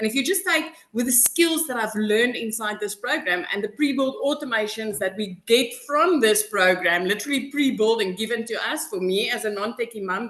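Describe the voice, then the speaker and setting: Over noticeable background noise, a woman speaks fairly quickly with hardly any pauses, in a fairly high voice with lively intonation. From South Africa. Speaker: customer giving testimonial. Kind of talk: testimony.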